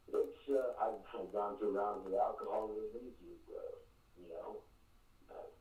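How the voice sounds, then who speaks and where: Speaking at a fairly slow pace, a man's loudness swings widely while audible room echo surrounds his voice. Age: 60s. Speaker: caller. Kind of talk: call-in radio conversation. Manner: halting, repetitive.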